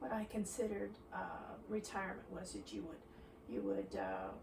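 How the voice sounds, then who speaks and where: With noticeable background noise and audible room echo, a woman speaks with very wide pitch swings. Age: 70s. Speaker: retiree being interviewed. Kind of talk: interview. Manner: halting.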